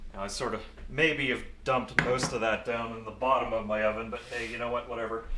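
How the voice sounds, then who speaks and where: Amid noticeable background noise and audible room echo, a man speaks very fast at a medium pitch in a monotone, flat intonation. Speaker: VTuber cooking streamer. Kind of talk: live stream cooking chat. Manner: casual, self-narrating.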